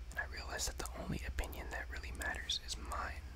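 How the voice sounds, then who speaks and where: A man whispers over noticeable background noise. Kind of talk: poetry reading. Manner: whispered.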